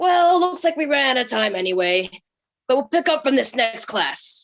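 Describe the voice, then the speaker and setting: In a put-on character voice, the speaker swings very widely in pitch at a moderate pace. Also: woman, high pitch for a woman. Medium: stage play. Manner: stern, dry.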